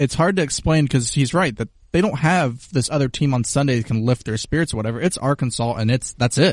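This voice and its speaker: Talking at a very fast pace with hardly any pauses, a man at medium pitch shows ordinary pitch variation. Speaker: podcast co-host. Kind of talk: casual chat.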